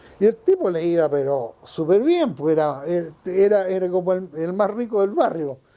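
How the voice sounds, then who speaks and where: A man speaks with a Chilean accent, high in pitch with a dark, mellow tone. His intonation is lively and his pace fairly slow. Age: 70s. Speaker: longtime neighborhood resident. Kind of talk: oral history interview answer.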